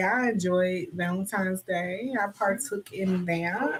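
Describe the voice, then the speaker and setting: Noticeable background noise sits under the recording. The woman talking has ordinary pitch variation. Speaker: livestream co-host. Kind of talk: casual chat. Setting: livestream.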